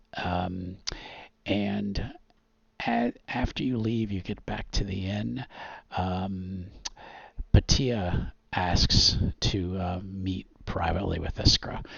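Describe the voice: Low-pitched with vocal fry and a slightly husky edge, a man speaks at a slow pace with fairly even intonation and a fairly bright tone.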